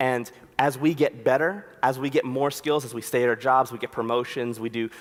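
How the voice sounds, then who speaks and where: A man with a Philadelphia accent speaks at a moderate pace and a medium pitch. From US, Philadelphia. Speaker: conference speaker, designer. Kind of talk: conference talk. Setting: stage with audience. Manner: casual, conversational.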